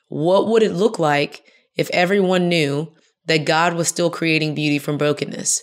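The woman has an American accent and a fairly low pitch. She talks at a moderate pace with ordinary pitch variation. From Houston, Texas. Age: 30s. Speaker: speaker and author. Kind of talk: interview testimony. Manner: animated.

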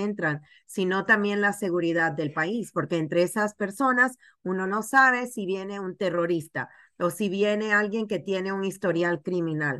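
A woman with a bright, sharp tone speaks at a medium pitch and a moderate pace. Her pitch variation is ordinary, and the background is quiet. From Panama. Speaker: TV journalist. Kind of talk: news interview.

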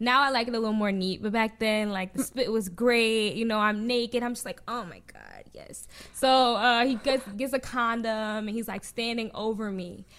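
A woman with an American accent speaks in an unremarkable speaking voice at a fairly high pitch. Her pace is moderate, with hardly any pauses and big swings in loudness. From New Jersey. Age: 20s. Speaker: sex-positive digital content creator. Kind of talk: casual interview chat.

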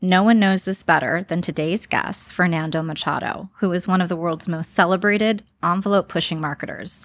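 On a very clean recording with a silent background, a woman talks at a moderate pace with a fairly low pitch and ordinary pitch variation. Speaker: podcast host, marketing executive. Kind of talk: interview. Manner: enthusiastic.

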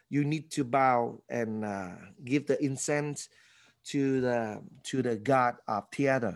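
A man with a Vietnamese accent talks at a very slow pace in a medium pitch with ordinary pitch variation, on a very clean recording with a silent background. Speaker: former actor and church leader. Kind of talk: interview.

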